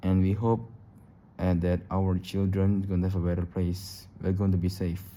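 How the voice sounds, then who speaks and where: At a moderate pace, a man with a very deep, low pitch and a dark, mellow tone speaks in a flat monotone at very even loudness. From Indonesia. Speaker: YouTuber. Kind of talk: casual vlog monologue. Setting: recording at home late at night. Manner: halting, repetitive.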